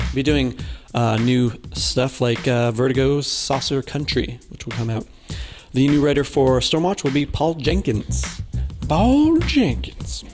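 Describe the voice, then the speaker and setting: Clear music in the background behind speech at a fairly slow pace. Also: man. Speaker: news segment host. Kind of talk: casual news commentary. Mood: jokey, light. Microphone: handheld.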